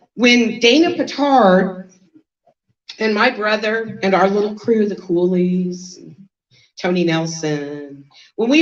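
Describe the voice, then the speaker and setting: A normal speaking voice: a woman with a fairly high pitch, lively intonation and an American accent. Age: 60s. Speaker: lawyer and keynote speaker. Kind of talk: keynote speech.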